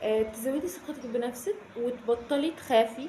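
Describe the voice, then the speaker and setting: A high-pitched woman's voice in a Cairo accent, with ordinary pitch variation and noticeable background noise. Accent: Egyptian Arabic (Cairene). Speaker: self-development youtuber. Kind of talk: casual advice vlog. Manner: animated, conversational with frequent fillers.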